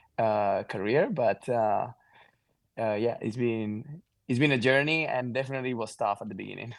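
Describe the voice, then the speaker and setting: A man with a Catalan accent speaks at a moderate pace. His pitch is medium, with ordinary variation. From Mallorca, Spain. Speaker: pro pickleball player. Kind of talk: podcast interview.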